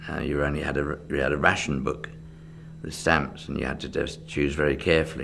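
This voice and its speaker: A man speaks in a very deep, low voice with an English accent. Noticeable background noise runs behind him. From England. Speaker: magician. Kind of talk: oral history interview answer.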